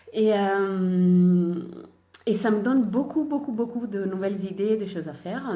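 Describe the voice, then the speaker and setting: A woman with a dark, mellow tone speaks very slowly with lively intonation. Room echo can be heard. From Italy. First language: Italian (speaking French). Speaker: sewing and knitting podcaster. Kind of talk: casual chat. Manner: hesitant, many fillers.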